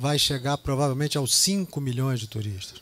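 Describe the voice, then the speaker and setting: Moderate speed and a fairly high pitch from a man. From Brazil, Rio de Janeiro. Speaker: real estate executive. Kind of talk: business presentation. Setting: business lunch event with audience.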